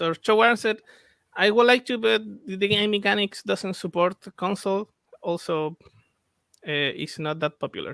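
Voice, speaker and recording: A man with a Spanish accent, high-pitched and bright and sharp in tone, at a moderate pace with ordinary pitch variation and long, frequent pauses, in a dry, close sound with no echo. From Chile. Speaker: game developer. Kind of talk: interview. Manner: halting.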